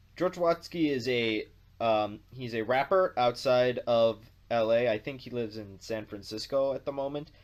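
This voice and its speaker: A man with a North American accent talks in an unremarkable speaking voice at a moderate pace. His pitch is medium, with ordinary pitch variation. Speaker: video blogger. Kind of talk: casual vlog monologue.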